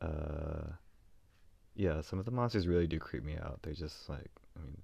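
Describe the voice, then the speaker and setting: A man with a very deep, low pitch speaks at a moderate pace. His voice is somewhat breathy, with long, frequent pauses. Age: 30s. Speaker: solo podcaster. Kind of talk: casual monologue. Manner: halting, with many fillers.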